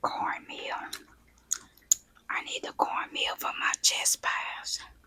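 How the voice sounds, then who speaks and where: Over noticeable background noise comes a very slow whisper. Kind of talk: ASMR casual talk to camera. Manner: whispered.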